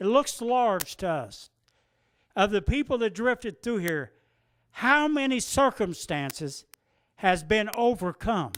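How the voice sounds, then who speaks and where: In an American accent, the speaker uses an animated tone at a fairly slow pace, captured on a very clean recording with a silent background. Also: man. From Ohio, rural. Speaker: recovering alcoholic speaker. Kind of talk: recovery meeting talk.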